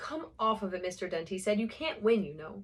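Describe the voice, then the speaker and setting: A woman with an American accent talks at a fairly quick pace, her fairly high voice somewhat breathy. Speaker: amateur audiobook reader. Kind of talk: reading aloud. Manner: casual, rambling asides.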